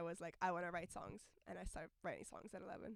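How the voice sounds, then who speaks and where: Delivered very fast, the speech keeps a fairly even intonation throughout. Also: woman. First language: not English; sings in French and Russian. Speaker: singer-songwriter. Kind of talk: interview. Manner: hesitant, many fillers.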